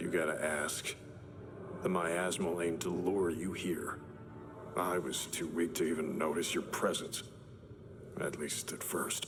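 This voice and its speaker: A man puts on a cartoonish character voice with a very deep, low pitch. He keeps a moderate pace over clear background noise. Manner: clipped, terse phrasing.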